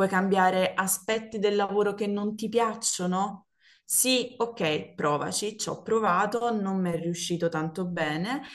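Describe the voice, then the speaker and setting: A woman's unremarkable speaking voice at a medium pitch, fairly slow in pace, with ordinary pitch variation. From Naples, Italy. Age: 30s. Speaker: former office worker. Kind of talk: casual chat.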